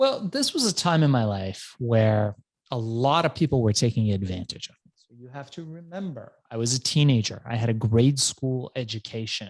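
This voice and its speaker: A man talks with hardly any pauses and lively intonation. He has an ordinary speaking voice at medium pitch. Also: moderate pace, big swings in loudness. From Iran, raised in US from childhood. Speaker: entrepreneur and author. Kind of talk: interview storytelling. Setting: podcast.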